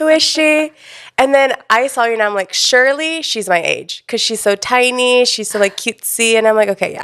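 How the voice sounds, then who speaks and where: A woman's high pitch and animated tone at a moderate pace. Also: ordinary pitch variation. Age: 20s. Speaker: influencer marketing coordinator and freelance photographer. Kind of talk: casual chat.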